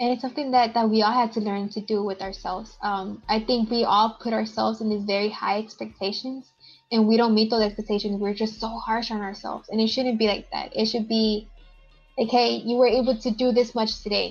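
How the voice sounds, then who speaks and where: The speaker moves at a fairly quick pace with a monotone, flat intonation and a somewhat breathy sound. The background is quiet. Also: woman, fairly high pitch for a woman. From Texas, Houston. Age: 20s. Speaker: student activist. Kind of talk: casual chat. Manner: uneven pace, sometimes fast.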